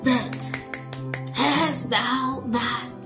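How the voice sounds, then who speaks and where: A woman speaks with clear music in the background. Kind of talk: sermon. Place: home room. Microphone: webcam.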